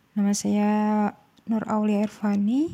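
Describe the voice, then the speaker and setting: A woman speaks in a medium pitch with a dark, mellow tone and a monotone, flat intonation. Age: 20s. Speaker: university student. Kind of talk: solo talk.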